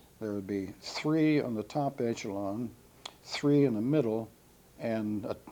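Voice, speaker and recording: With a Midwestern American accent, a man speaks slowly-ish at a medium pitch, his tone dark and mellow, with ordinary pitch variation. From Ohio, USA. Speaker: World War II B-17 pilot veteran. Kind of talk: oral history interview answer.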